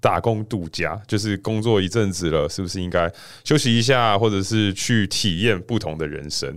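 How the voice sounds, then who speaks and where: The recording is very clean, with a silent background. A man with a plain, everyday voice talks at a moderate pace, fairly low pitch and ordinary pitch variation. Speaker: podcast co-host, actuary. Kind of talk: casual chat.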